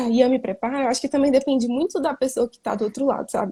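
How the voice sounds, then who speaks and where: A woman with a high pitch speaks at a very fast pace in a dark, mellow tone with ordinary pitch variation, recorded dry and close with no echo. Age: 20s. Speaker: mentee. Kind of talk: casual chat.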